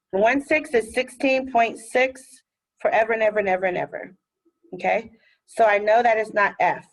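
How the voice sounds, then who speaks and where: A woman with an ordinary speaking voice and an American accent speaks at a moderate pace, fairly high in pitch with ordinary pitch variation. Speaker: math teacher. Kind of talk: recorded lesson. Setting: recorded video lesson.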